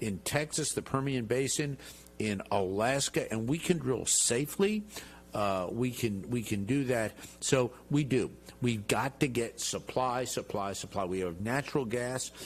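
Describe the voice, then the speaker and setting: Using an ordinary speaking voice, a man with an American accent speaks at a fairly slow pace and medium pitch. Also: lively intonation. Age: 60s. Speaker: congressman. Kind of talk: TV interview.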